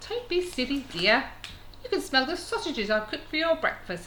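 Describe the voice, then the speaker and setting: A female-sounding put-on character voice jumps to an extremely high pitch with very wide pitch swings at a fairly quick pace. Clear background noise runs underneath. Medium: read story.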